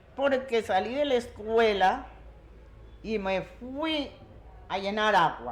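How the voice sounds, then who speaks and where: A woman speaks at a very slow pace, with long, frequent pauses. Her pitch variation is ordinary. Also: fairly high pitch for a woman. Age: 70s. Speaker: community elder. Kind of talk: oral storytelling.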